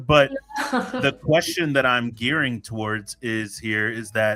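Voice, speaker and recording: A man is heard over noticeable background noise. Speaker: podcast host. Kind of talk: casual podcast conversation.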